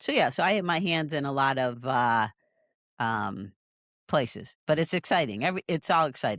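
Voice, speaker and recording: In a dry, close recording with no echo, a woman with a very deep, low pitch talks at a moderate pace with lively intonation. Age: 60s. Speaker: podcast co-host. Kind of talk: casual chat.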